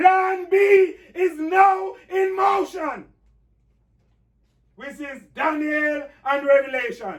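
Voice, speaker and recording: With audible room echo behind him, a man talks at a very slow pace and an extremely high pitch, leaving long, frequent pauses as his loudness swings widely. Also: ordinary pitch variation. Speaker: pastor. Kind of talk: bible class.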